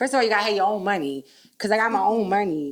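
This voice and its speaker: Noticeable background noise sits behind a woman whose tone is animated and whose intonation is lively. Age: 40s. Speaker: podcast host. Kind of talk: casual chat.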